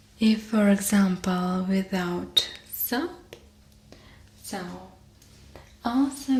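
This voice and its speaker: With a Russian accent, a woman speaks very slowly. Noticeable background noise sits behind her. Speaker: ASMR artist. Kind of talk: ASMR roleplay. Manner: soft-spoken, whispered.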